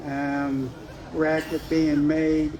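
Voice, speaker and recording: This man's voice sits fairly high. Room echo is audible, and there is noticeable background noise. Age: 60s. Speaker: storyteller at community event. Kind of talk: personal ghost story told to audience.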